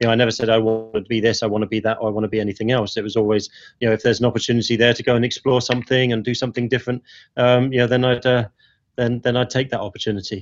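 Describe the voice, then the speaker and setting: Very fast and monotone, a man with an East London accent speaks at a medium pitch, his intonation flat. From East London (Ilford). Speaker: agency president. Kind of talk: interview conversation.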